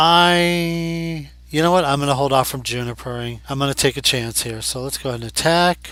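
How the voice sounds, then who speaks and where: A man with a fairly high pitch and an ordinary speaking voice, fairly quick pace, hardly any pauses, ordinary pitch variation, and a very clean recording with a silent background. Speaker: Pokémon card game commentator. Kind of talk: casual gameplay commentary. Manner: conversational, thinking aloud.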